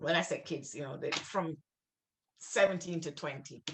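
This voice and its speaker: This woman has a bright, sharp tone with vocal fry. She speaks in a strong Jamaican accent. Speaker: writer and refugee worker. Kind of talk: literary conversation. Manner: halting, many repeated words.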